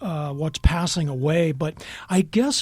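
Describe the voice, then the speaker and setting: Ordinary pitch variation marks the man's voice, dark and mellow in tone. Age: 60s. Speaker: journalist and writer. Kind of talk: radio interview. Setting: radio studio.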